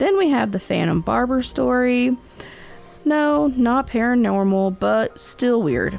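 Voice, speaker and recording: A speaker with a Southern US accent talks over music in the background. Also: woman. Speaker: podcast host of Southern folklore and cryptids. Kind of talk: podcast narration. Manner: casual, folksy.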